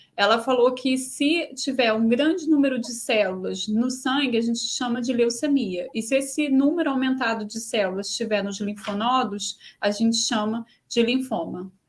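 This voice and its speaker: A fairly quick pace with ordinary pitch variation. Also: woman, high pitch for a woman. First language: Portuguese. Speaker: host and interpreter. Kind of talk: live interpretation in webinar.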